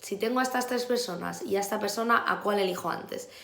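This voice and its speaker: A woman speaks at a fairly quick pace in a fairly high voice with fairly even intonation, against noticeable background noise and audible room echo. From Spain. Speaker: teacher. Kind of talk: vlog advice talk. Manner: fast.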